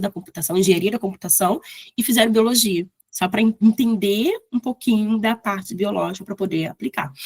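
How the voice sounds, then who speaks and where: A somewhat breathy woman's voice at medium pitch, moderate in pace with ordinary pitch variation, in a dry, close sound with no echo. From Brazil, Rio de Janeiro. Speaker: bioinformatics lecturer. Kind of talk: lecture.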